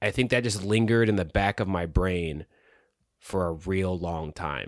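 Over a very clean recording with a silent background, a man with a very deep, low pitch speaks fairly slowly. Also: dry, close sound with no echo. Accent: American. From US South. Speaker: podcast host and writer. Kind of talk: casual conversational podcast chat. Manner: casual, filler words, hesitant.

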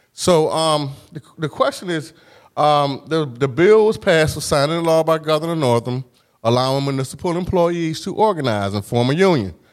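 A moderate pace and ordinary pitch variation in an unremarkable speaking voice, belonging to a man pitched fairly high. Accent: American. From Huntersville, Norfolk, Virginia. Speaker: podcast host and professor. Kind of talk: interview. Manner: casual.

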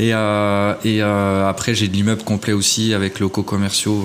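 Flat and monotone, a man with a fairly low pitch speaks at a moderate pace. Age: 30s. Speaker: property investor. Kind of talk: interview.

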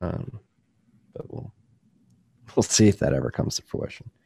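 A very fast-talking man with a dark, mellow tone and vocal fry. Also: dry, close sound with no echo. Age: 20s. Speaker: bitcoin podcast host and newsletter author. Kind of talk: podcast interview. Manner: animated.

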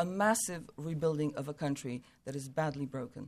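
With an American accent and a normal speaking voice, a woman talks at a fairly quick pace with ordinary pitch variation, in a very clean recording against a silent background. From USA. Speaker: Ukraine expert. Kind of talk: panel discussion.

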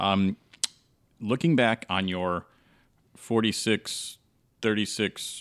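In a very clean recording with a silent background, a man with a very deep, low pitch speaks with fairly even intonation. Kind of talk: casual roundtable chat.

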